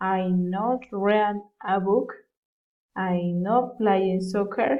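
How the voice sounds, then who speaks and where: In a Colombian accent, the speaker goes at a very slow pace with fairly even intonation. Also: woman, medium pitch for a woman. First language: Spanish. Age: 20s. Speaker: university student. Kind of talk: self-introduction for English class. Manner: halting.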